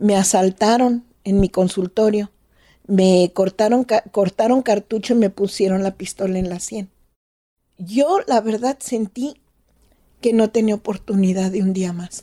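A woman talks at a fairly slow pace in a dark, mellow tone. The sound is dry and close, with no echo. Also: medium pitch for a woman. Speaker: doctor. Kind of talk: storytelling interview.

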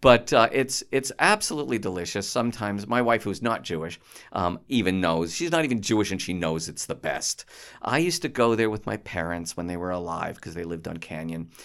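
An unremarkable speaking voice from a man with a Canadian accent, fairly low-pitched, fairly quick and lively in intonation, on a very clean recording with a silent background. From Toronto, Canada. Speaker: comedy club founder. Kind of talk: casual chat.

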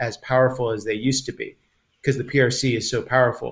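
A man's somewhat breathy, medium-pitched voice with an American accent, at a fairly quick pace. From US, Taiwanese American. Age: 50s. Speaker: community organizer. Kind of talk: casual chat. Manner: halting.

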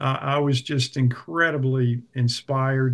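Speaking with an American accent, a man takes a very slow pace. His pitch is fairly high. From US South, South Carolina (Clemson). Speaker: house church leader. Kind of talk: interview.

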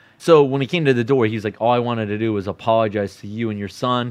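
A man with an American accent speaks in a medium pitch with ordinary pitch variation. It is an ordinary speaking voice. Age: 30s. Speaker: storyteller. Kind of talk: personal storytelling.

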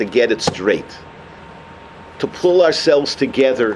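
A man with an American accent uses ordinary pitch variation while noticeable background noise carries on. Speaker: rabbi. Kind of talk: sermon. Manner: animated.

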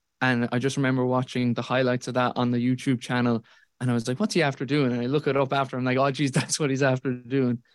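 Speaking with a Kerry accent at a very fast pace, a man keeps a medium pitch, fairly even intonation and very even loudness on a very clean recording with a silent background. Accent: Kerry Irish. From Ireland, Tralee, County Kerry. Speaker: college football analyst. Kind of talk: casual chat.

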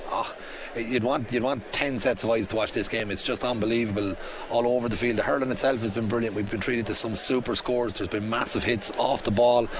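Noticeable background noise sits behind a man at a medium pitch. He talks at a fairly quick pace in a monotone, flat intonation. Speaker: hurling pundit. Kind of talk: half-time analysis.

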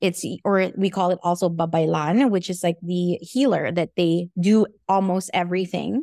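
A woman's fairly low, dark, mellow voice at a moderate pace, with ordinary pitch variation, hardly any pauses, and a dry, close sound with no echo. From Philippines. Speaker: tarot card reader. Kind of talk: interview. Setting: video call.

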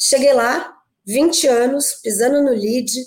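The speaker is a woman with a high pitch. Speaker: networking group executive. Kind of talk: podcast interview. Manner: energetic.

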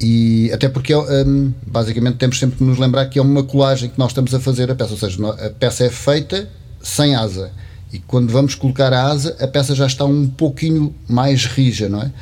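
His intonation stays fairly even and his pitch is medium. The man moves along at a fairly quick pace. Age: 50s. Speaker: potter. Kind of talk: casual chat. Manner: halting.

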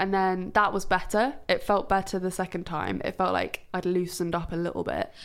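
At a moderate pace, a woman talks at a fairly low pitch with ordinary pitch variation.

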